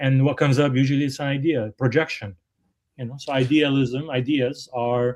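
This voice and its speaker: In a very clean recording with a silent background, a man with a fairly high pitch talks at a moderate pace with fairly even intonation. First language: not English. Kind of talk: casual discussion. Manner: halting, many fillers.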